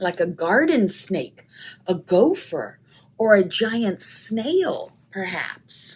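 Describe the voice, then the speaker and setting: A woman's put-on character voice at a medium pitch, delivered at a very slow pace. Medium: read story.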